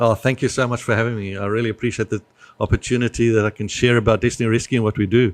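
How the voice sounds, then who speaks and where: A man with a South African accent at medium pitch, monotone and flat at a very fast pace, dry and close with no echo over a quiet background. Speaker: nonprofit business development manager. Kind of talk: podcast interview. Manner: hesitant, many fillers.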